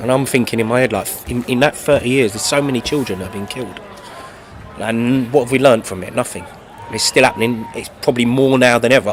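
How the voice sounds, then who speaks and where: A man with a London accent speaks at a very fast pace in a medium pitch, his intonation fairly even, over noticeable background noise. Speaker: singer-songwriter. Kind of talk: interview. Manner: halting, many fillers and repeats.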